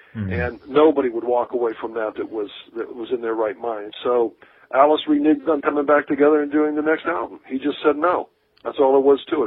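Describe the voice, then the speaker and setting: A man with an American accent has an unremarkable speaking voice, pitched fairly high. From Akron, Ohio. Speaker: rock drummer. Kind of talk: interview.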